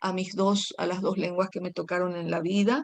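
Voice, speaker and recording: A woman with a Paraguayan accent speaks at a medium pitch. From Paraguay, rural. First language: Guaraní (speaking Spanish). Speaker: poet. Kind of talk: interview.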